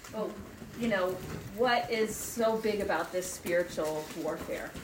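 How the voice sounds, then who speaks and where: With noticeable background noise behind her, a woman talks at a fairly slow pace and a fairly high pitch. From US South, Marietta, Georgia. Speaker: women's retreat speaker. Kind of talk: talk at a church retreat. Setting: retreat with live audience.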